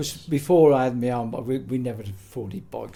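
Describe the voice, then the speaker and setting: This man's voice has a dark, mellow tone. It comes across as somewhat breathy. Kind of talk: interview answer, oral history reminiscence. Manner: casual, conversational.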